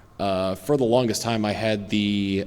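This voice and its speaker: Fairly low-pitched male speech with audible room echo and noticeable background noise. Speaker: YouTube gamer and streamer. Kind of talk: convention Q&A panel. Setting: stage with audience. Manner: halting, stutters with many fillers.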